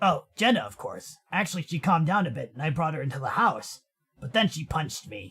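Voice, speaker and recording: A man does a put-on character voice at a fairly high pitch. He moves quickly, with very wide pitch swings. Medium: game stream. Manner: rambling, chatty.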